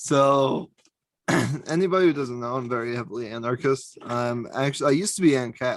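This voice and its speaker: A man speaks in a normal speaking voice at a medium pitch. His pace is fairly quick, with ordinary pitch variation. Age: 20s. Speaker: podcast host. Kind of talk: casual chat.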